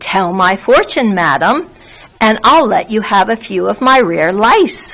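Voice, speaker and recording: Using a put-on character voice, a woman speaks fairly slowly in a fairly high pitch. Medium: read story. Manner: gruff, brash.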